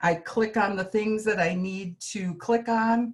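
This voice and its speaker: Her delivery is fairly slow, with fairly even intonation. The woman sounds somewhat breathy. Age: 60s. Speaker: healthcare worker, product user. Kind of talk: testimony.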